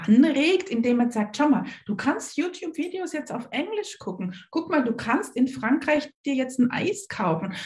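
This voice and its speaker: A woman speaks at a fairly slow pace in an enthusiastic tone, her pitch swinging very widely. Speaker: learning coach and author. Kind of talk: interview.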